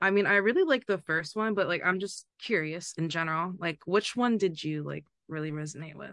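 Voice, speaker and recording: Talking at a fairly quick pace with hardly any pauses, a woman has a fairly low pitch. She uses a plain, everyday voice with ordinary pitch variation. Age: 30s. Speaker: poet. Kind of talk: casual chat. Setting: video call.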